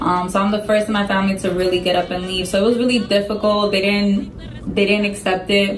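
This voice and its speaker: With hardly any pauses, a woman speaks in a monotone, flat intonation at a medium pitch. Music plays behind her, and room echo is audible. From Dominican Republic. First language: Spanish. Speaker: Marine sergeant, recruiter. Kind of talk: interview.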